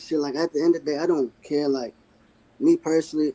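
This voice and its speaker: At a very fast pace, a man speaks in a fairly high, dark, mellow voice with monotone, flat intonation and a dry, close sound with no echo. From Virginia (Waynesboro). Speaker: street fighter. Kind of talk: interview. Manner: calm.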